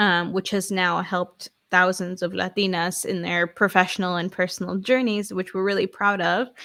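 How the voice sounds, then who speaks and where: Bright and sharp in tone, a woman with an American accent speaks at a medium pitch in a monotone, flat intonation. Her pace is moderate with hardly any pauses, in a very clean recording with a silent background. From New York City (Queens). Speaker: author and business coach. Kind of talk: interview.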